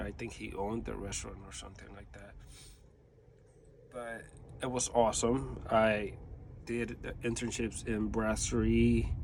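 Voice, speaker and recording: Speaking at a moderate pace with long, frequent pauses, a man with an American accent shows big swings in loudness amid audible room echo. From New York. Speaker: vlogger. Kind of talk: casual monologue. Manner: rambling, hesitant with fillers.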